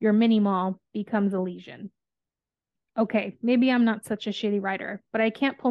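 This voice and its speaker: In an ordinary speaking voice, a woman talks at a fairly quick pace with fairly high pitch and fairly even intonation. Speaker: podcast host. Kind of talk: casual book discussion podcast.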